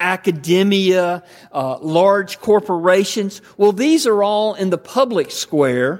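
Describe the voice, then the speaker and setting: Speaking very slowly with a Southern US accent, the man has a high pitch and ordinary pitch variation. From US South, Georgia. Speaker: pastor. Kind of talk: sermon. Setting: church.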